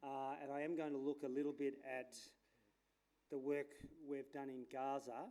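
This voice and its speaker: A man's fairly high-pitched voice with an Australian accent, dark and mellow in tone, monotone and flat in intonation, broken by long, frequent pauses. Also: moderate pace. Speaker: landscape architect. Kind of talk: conference talk. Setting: stage with audience. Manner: casual, hesitant with fillers.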